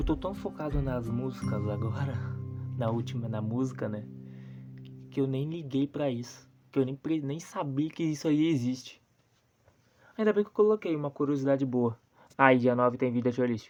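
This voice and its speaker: A woman with a very deep, low pitch speaks quietly at a moderate pace, with ordinary pitch variation and long, frequent pauses. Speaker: youtuber reacting to videos. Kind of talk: casual reaction commentary. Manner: speaking quietly. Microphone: recording on a poor phone.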